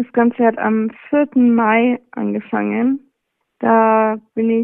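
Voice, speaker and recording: This woman speaks in a fairly high pitch with monotone, flat intonation. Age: 20s. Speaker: cancer patient. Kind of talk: interview. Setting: phone call.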